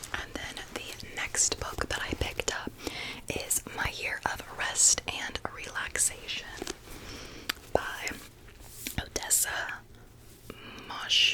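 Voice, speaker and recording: Whispering with long, frequent pauses, a woman is heard over noticeable background noise. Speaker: ASMR creator. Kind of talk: ASMR book haul talk. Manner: whispered.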